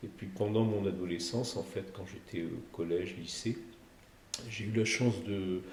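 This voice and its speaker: A man's fairly low, somewhat breathy voice with fairly even intonation and audible room echo. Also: fairly slow pace. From Provence, southern France. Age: 60s. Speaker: cardiac surgeon. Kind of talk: podcast interview. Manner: hesitant, with frequent fillers and repetitions.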